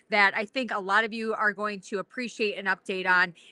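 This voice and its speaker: A woman with a South Dakota accent speaks at a fairly high pitch with a bright, sharp tone, in a very clean recording with a silent background and a dry, close sound with no echo. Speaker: podcast host. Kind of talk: interview. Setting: at a conference.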